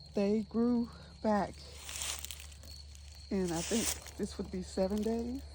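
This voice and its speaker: A woman speaking at a very slow pace amid noticeable background noise. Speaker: homesteader. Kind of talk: casual garden tour vlog. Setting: outdoors in garden. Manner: animated; whispering at times.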